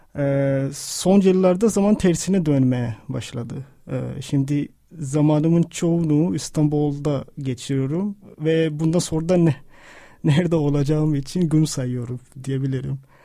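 A man with a fairly high pitch and a dark, mellow tone speaks fairly slowly with ordinary pitch variation. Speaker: podcast co-host, writer. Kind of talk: reading aloud own writing mixed with discussion. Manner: halting, many fillers.

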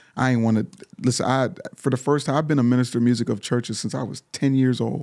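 Very fast speech comes from a man with a medium pitch. The recording is very clean, with a silent background. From Pittsburgh, Pennsylvania. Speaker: singer and motivational speaker. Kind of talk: casual interview chat. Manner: animated.

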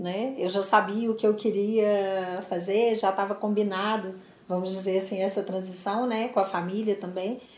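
Over audible room echo, a woman talks at a moderate pace in a medium pitch with monotone, flat intonation. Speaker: business executive. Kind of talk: interview.

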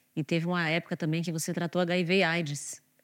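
A plain, everyday voice: a woman at a moderate pace, fairly low in pitch, dry and close with no echo, on a very clean recording with a silent background. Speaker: journalist and editor. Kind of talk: interview.

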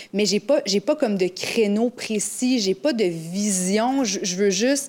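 Here a woman uses a normal speaking voice at a medium pitch with ordinary pitch variation. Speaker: radio weather presenter. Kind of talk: casual chat.

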